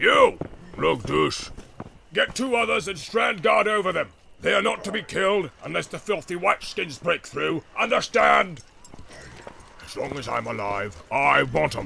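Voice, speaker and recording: A man talks at a fairly slow pace in a menacing tone. Noticeable background noise is audible. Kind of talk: audiobook character voices. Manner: growling, menacing orc voice.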